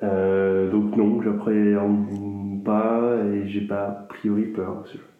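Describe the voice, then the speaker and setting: Against audible room echo, a man talks with a fairly low pitch in a monotone, flat way. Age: 40s. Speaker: interviewee sharing views on death. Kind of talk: interview testimony. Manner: hesitant, many fillers.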